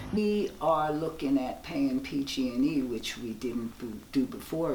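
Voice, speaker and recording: Noticeable background noise runs under speech that has hardly any pauses. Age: 60s. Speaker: public housing resident. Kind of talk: documentary interview.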